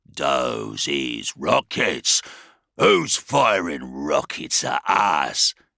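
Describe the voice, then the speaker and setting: A man's gruff, growling put-on character voice, very deep and low, at a very slow pace. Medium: read story. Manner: growling, crude orcish slang and grammar.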